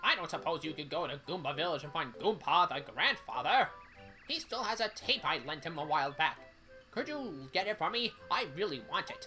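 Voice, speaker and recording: Over clear background music, a man puts on a high-pitched character voice at a moderate pace. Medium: game stream. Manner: folksy, calls hero young fella.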